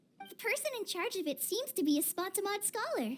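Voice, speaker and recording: A put-on, squeaky character voice at an extremely high pitch and a fairly quick pace. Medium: video game.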